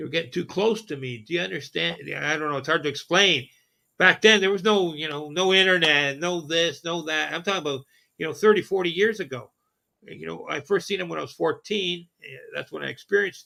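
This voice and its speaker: Bright and sharp in tone, this man's fairly high voice carries vocal fry, ordinary pitch variation and big swings in loudness at a fairly quick pace. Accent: Canadian. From southern Ontario, Canada. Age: 60s. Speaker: podcast host. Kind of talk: casual chat. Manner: halting.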